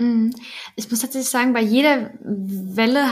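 An unremarkable speaking voice carries fairly even intonation here. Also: woman. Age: 20s. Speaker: new mother, childcare consultant. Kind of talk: casual interview.

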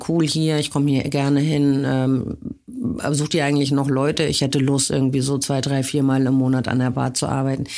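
The woman's pitch is very deep and low. She keeps a moderate pace. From western Germany, small town. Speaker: club owner and industry association head. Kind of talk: interview.

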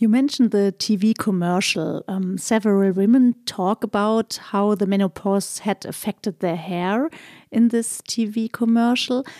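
A woman with a German accent speaks fairly slowly in a dark, mellow tone at a fairly high pitch with ordinary variation, recorded very clean, dry and close, with a silent background and no echo. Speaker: podcast host. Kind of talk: interview.

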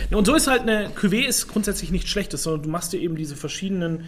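A man speaks with ordinary pitch variation. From Franconia (Rhön), Germany. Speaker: sommelier and podcast co-host. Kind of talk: casual chat.

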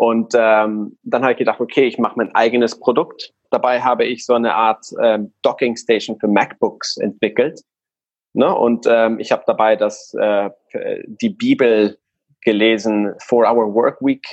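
A man at a fairly slow pace, very even in loudness, with a dry, close sound and no echo. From Guatemala. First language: Spanish (speaking German). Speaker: online retailer. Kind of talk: casual interview.

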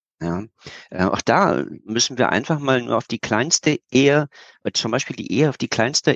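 A man talks at a moderate pace in a medium pitch. It is a normal speaking voice. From Berlin, Germany. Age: 50s. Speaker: geopolitical expert and speaker. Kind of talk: interview.

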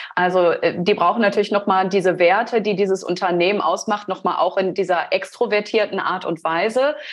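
This woman has a normal speaking voice at a medium pitch, with fairly even intonation. She talks at a moderate pace with hardly any pauses. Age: 30s. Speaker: brand strategy designer. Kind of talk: interview conversation.

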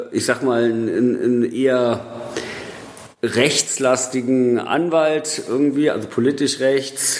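The speech moves at a very slow pace with fairly even intonation over noticeable background noise. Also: man. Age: 40s. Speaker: film director. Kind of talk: casual interview. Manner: hesitant, many fillers.

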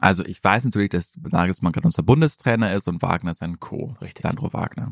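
A man's unremarkable speaking voice, fairly low in pitch, with lively intonation at a fairly quick pace and a dry, close sound with no echo. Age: 20s. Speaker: football podcast co-host. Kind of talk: casual chat.

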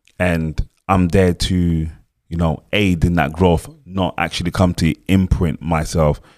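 On a very clean recording with a silent background, a man with a London accent speaks at a very deep, low pitch and a very slow pace, with hardly any pauses, fairly even intonation, and a dry, close sound with no echo. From Cameroon, grew up in London. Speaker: choreographer. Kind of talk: interview.

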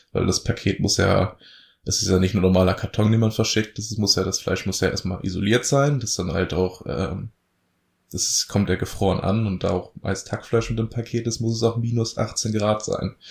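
On a very clean recording with a silent background, a man's somewhat breathy voice sits fairly low in pitch, with fairly even intonation and a moderate pace. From northern Germany, Lower Saxony (Elbmarsch near Lüneburg). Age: 20s. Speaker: farmer. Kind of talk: interview.

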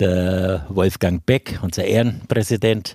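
A man speaks very slowly, his very deep, low voice dark and mellow in tone. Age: 60s. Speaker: longtime sports club member and handball coach. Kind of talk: podcast interview. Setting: studio.

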